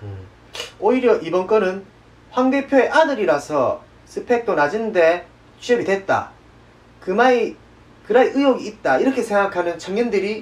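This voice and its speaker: Speaking with a Daegu accent, a high-pitched man uses lively intonation at a moderate pace, leaving long, frequent pauses. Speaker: news show host. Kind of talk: satirical news show presenting.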